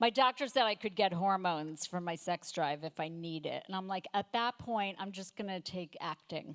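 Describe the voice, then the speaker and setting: A woman with an unremarkable speaking voice and medium pitch talks at a moderate pace with ordinary pitch variation and hardly any pauses, in a dry, close sound with no echo. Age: 60s. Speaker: stand-up comedian. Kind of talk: stand-up. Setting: stage with audience.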